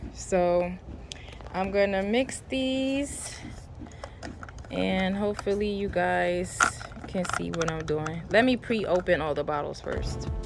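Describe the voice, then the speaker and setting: A woman speaks very slowly at a medium pitch, with lively intonation and long, frequent pauses. Noticeable background noise and audible room echo surround her. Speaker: home gardening vlogger. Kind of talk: tutorial. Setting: outdoors in garden. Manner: casual, many fillers.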